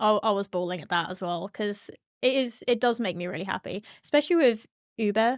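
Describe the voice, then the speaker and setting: A woman with a strong British accent talks at a fairly quick pace, with ordinary pitch variation and big swings in loudness. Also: medium pitch for a woman, dry, close sound with no echo. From Britain. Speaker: streamer and sim racer. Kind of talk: casual interview chat.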